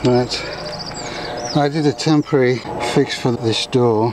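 The voice has a slightly mellow tone and a fairly slow pace. Its pitch varies in an ordinary way over faint background noise. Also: man, medium pitch for a man.

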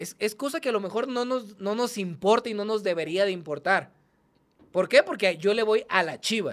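A man speaks with a high pitch and an animated tone. His pace is moderate, and his pitch varies in an ordinary way. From Culiacán, Sinaloa, Mexico; Sinaloa, Mexico. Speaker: online content creator and football fan; podcast host. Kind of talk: casual chat. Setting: studio, in person. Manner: animated, profane, laughs often. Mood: animated, joking. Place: studio. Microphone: studio mic.

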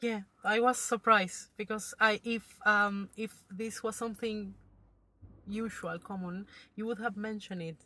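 Speaking at a fairly slow pace with an Argentine accent, a woman uses a fairly high pitch and a bright, sharp tone, with monotone, flat intonation and big swings in loudness. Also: dry sound with no echo. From Buenos Aires, Argentina. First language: Spanish. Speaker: driving student. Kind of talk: testimony. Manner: halting. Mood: relaxed, amused. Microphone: phone near.

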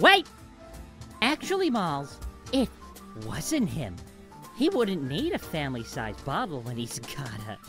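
A put-on character voice moves at a moderate pace with long, frequent pauses while music plays clearly in the background. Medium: fan dub. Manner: whiny, bratty, sarcastic.

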